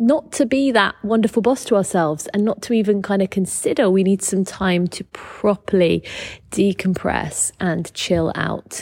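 A woman speaks at a medium pitch with a British accent. Her pitch varies in an ordinary way, and the sound is dry and close with no echo. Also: moderate pace. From Britain. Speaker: business coach and podcaster. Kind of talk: solo podcast monologue.

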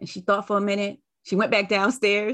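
Speaking at a moderate pace with an American accent, a woman at medium pitch has an ordinary speaking voice. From Brooklyn, New York and North Carolina. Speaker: podcast host. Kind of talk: casual interview.

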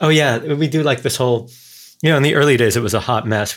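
A man speaks at a very fast pace. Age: 40s. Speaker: behavioral scientist, author. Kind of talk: casual interview chat.

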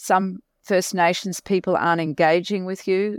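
In an Australian accent, a woman speaks at a medium pitch with a dry, close sound and no echo. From Australia, Mackay, regional Queensland. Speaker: non-profit CEO. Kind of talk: interview.

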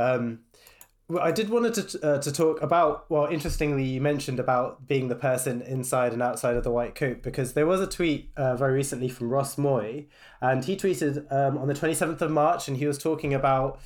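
Speaking at a fairly quick pace, a man with a British accent is heard in a very clean recording against a silent background. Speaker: cardiology registrar and podcast co-host. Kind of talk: casual chat.

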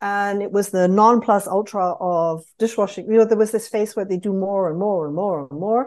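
A British accent with ordinary pitch variation. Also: woman. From United Kingdom. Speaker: market researcher. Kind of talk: casual interview conversation.

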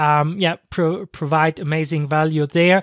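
The pace is fairly slow. The recording is very clean, with a silent background. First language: not English. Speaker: podcast host, online marketer. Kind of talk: unscripted solo podcast monologue. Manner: halting, many fillers.

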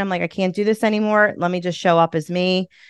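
With a Philadelphia accent, a woman talks at a fairly quick pace in a flat monotone, the sound dry and close with no echo against a quiet background. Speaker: podcast host and community leader. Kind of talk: casual interview chat.

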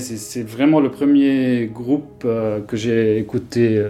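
A man's medium-pitched voice at a very slow pace with fairly even intonation, over noticeable background noise. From Lebanon, Beirut. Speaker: architect and ambient musician. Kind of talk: interview. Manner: halting.

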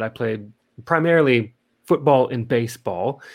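With an American accent and an unremarkable speaking voice, a man talks using lively intonation. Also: quiet background. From Montana, US. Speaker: professional entertainer and podcast host. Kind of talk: interview. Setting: remote call.

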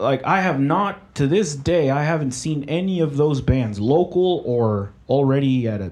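At a moderate pace, a man with an unremarkable speaking voice talks at a fairly high pitch with lively intonation. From Mexico, raised in Oklahoma, US. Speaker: sound engineer. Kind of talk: casual interview chat.

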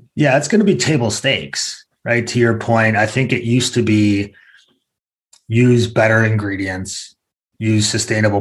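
Pitch variation is ordinary. The voice sounds somewhat breathy. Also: man. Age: 40s. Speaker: e-commerce executive. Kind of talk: business interview.

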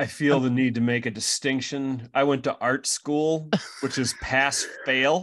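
A man with an unremarkable speaking voice, medium pitch, fairly even intonation, very even loudness and a fairly slow pace, over a quiet background. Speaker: podcast host. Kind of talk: casual chat. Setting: remote call. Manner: joking.

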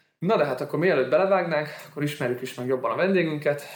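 Talking at a fairly quick pace, a man uses an ordinary speaking voice with ordinary pitch variation. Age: 20s. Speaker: sports lawyer, podcast host. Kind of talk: casual interview.

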